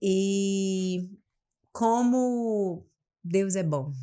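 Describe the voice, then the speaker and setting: Her intonation stays fairly even. There is no background sound at all, and the recording is very clean. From Amapá, northern Brazil. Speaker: business mentor. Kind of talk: podcast interview.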